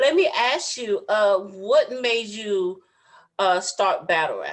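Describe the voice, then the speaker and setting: With a Southern US accent, the speaker talks very slowly using lively intonation. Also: woman, fairly high pitch for a woman. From US South. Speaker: podcast host. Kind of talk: casual interview.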